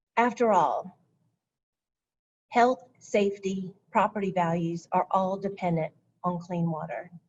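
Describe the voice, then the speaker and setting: At a fairly slow pace with long, frequent pauses, a woman speaks at medium pitch in a somewhat breathy voice with fairly even intonation. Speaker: county stormwater program presenter. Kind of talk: webinar presentation.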